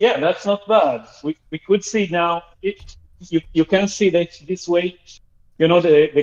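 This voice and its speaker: The man's pitch is high, his pace moderate. The sound is dry and close, with no echo. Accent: slight Argentinian. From Argentina. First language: Spanish. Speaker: caller. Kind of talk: call-in comment. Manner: hesitant, with fillers.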